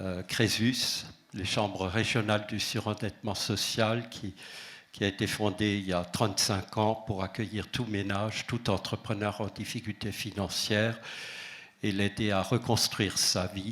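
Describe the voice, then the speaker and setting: Speaking in an Alsatian accent, the voice moves at a fairly slow pace with monotone, flat intonation. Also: man, fairly low pitch for a man. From Alsace. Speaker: association president. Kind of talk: conference talk. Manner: hesitant with fillers.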